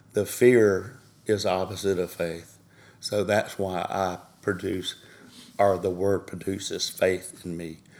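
A man's very deep, low pitch in a Southern US accent, with monotone, flat intonation. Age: 60s. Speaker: bereaved father. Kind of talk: testimony.

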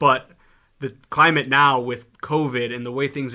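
Here a man talks in a medium-pitched voice. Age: young. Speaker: company president. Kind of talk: interview. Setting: studio. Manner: animated.

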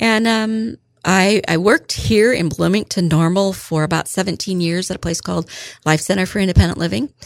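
In an American accent, a woman speaks at a fairly quick pace and a medium pitch, with ordinary pitch variation and a dry, close sound with no echo. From central Illinois, US Midwest. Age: 50s. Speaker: retired school office manager, tornado survivor. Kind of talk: interview storytelling. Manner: hesitant, many fillers.

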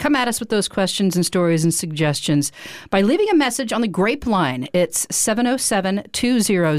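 On a very clean recording with a silent background, a woman with a medium pitch and an unremarkable speaking voice talks at a fairly quick pace with lively intonation. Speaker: podcast host. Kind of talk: casual interview chat. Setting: studio.

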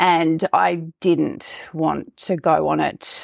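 A woman speaks with an Australian accent. The sound is dry and close, with no echo. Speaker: health coach. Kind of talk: interview. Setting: remote audio call.

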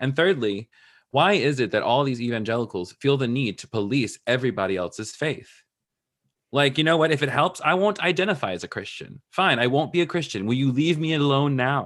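Here a man has an unremarkable speaking voice, fairly high in pitch, with lively intonation. He talks at a fairly quick pace on a very clean recording with a silent background. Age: 30s. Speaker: digital pastor and spiritual coach. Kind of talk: casual interview.

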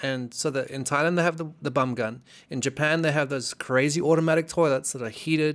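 Speaking at a very fast pace with hardly any pauses, this man has a fairly high pitch and ordinary pitch variation. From South Africa, Cape Town. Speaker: jiu-jitsu practitioner and former graffiti artist. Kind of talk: casual chat.

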